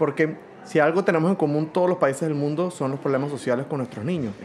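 Noticeable background noise sits under a man who talks at a fairly quick pace. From Venezuela. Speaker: orchestra conductor. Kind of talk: interview. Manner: halting.

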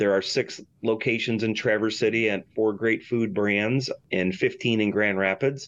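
Speaking at a moderate pace with a Michigan accent, a man with a fairly low pitch keeps his intonation fairly even and his loudness very even. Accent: Michigan (Inland North) American. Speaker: restaurant and hotel owner. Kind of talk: interview. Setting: studio.

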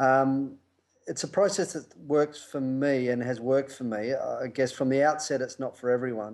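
In a very clean recording with a silent background, a man with an Australian accent talks at a moderate pace with ordinary pitch variation. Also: medium pitch for a man. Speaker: rugby coach. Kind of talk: interview.

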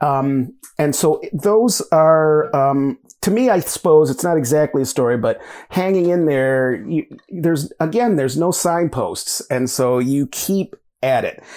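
In a very clean recording with a silent background, a man with an American accent and an unremarkable speaking voice talks fairly slowly at a fairly high pitch with lively intonation. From US Midwest, Michigan. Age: 50s. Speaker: writer and university lecturer. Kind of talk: interview conversation.

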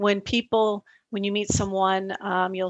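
A woman speaks with an American accent at medium pitch. Her pace is fairly slow. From US West Coast, Los Angeles. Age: 50s. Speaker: author. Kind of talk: interview.

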